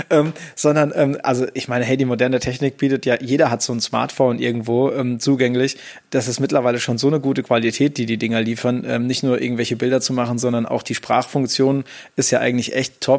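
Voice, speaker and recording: Here is a man with an ordinary speaking voice and fairly even intonation. He moves along at a fairly quick pace. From Hamburg, northern Germany. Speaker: podcast host and music educator. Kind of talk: casual chat.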